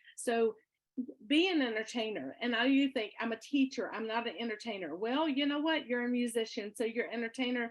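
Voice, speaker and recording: A woman speaks loudly in a high pitch. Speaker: experienced music teacher. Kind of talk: workshop presentation.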